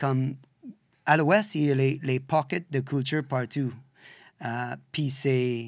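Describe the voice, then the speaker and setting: In a very clean recording with a silent background, a man of medium pitch speaks very slowly with fairly even intonation and long, frequent pauses. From western Canada (Saskatchewan). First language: English (speaking French). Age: 50s. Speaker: bike shop owner. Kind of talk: interview. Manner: halting, searching for words.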